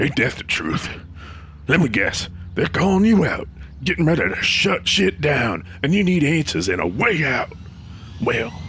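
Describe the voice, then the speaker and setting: A man's put-on character voice, drawling at a moderate pace and fairly high in pitch, with very wide pitch swings, long, frequent pauses and clear background noise. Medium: audio drama. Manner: drawling, folksy slang.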